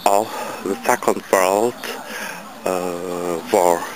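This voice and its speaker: A man's voice sounds dry with no echo, with noticeable background noise behind it. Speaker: travel vlogger. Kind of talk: tour guide commentary. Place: street. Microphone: phone near.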